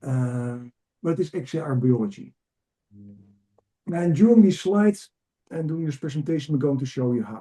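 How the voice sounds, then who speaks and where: His voice fairly high-pitched yet dark and mellow in tone, a man speaks somewhat breathily with lively intonation. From Netherlands. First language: Dutch. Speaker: executive coach and trainer. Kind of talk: webinar presentation. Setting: video call webinar. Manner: energetic, enthusiastic; fast.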